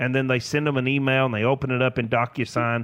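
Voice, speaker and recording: This man speaks with a Tennessee accent and a fairly high pitch. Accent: US Southern (Tennessee). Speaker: financial advisor. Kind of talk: casual radio interview.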